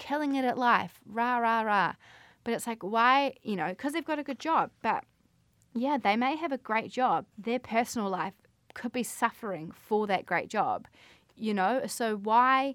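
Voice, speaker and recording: Speaking at a fairly slow pace with lively intonation, the voice has a New Zealand accent and comes through a very clean recording with a silent background. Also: woman. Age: 20s. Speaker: podcast host. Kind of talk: casual monologue.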